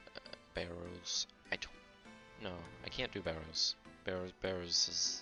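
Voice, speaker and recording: Music plays in the background as a man speaks at a fairly slow pace with long, frequent pauses. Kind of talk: casual gaming commentary. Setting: poor home microphone.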